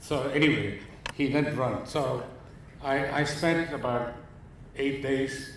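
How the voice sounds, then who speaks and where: Over noticeable background noise and audible room echo, a man speaks at a very slow pace with long, frequent pauses, a fairly high pitch and monotone, flat intonation. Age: 70s. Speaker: photographer. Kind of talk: lecture.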